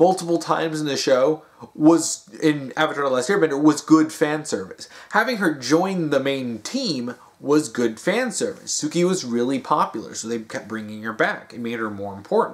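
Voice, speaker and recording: A man talks at a moderate pace. His intonation is lively. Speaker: video commentator. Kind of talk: casual vlog chat. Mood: mocking, exasperated. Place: home room. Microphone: phone near.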